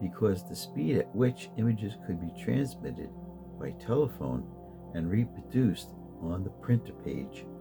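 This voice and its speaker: A soft-spoken man talks in a gentle tone at a fairly slow pace. Music plays in the background. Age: old. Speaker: street photographer and photojournalist. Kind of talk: sleep story, slow encyclopedia-style reading. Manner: slow, gentle, soft-spoken.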